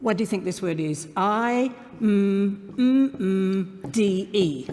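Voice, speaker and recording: Noticeable noise sits behind the voice. A woman with a medium pitch talks very slowly. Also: ordinary pitch variation. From Australia. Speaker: motivational keynote speaker. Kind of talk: live keynote speech to an audience. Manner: upbeat, humorous.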